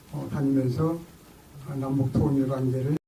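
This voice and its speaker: There is audible room echo as a man speaks at a fairly high pitch. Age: 70s. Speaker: lecturer, former intelligence official. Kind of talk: lecture. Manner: halting, many fillers.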